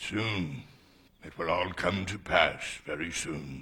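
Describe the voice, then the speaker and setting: In a raspy put-on character voice, a man speaks fairly slowly at a very deep, low pitch. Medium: short film.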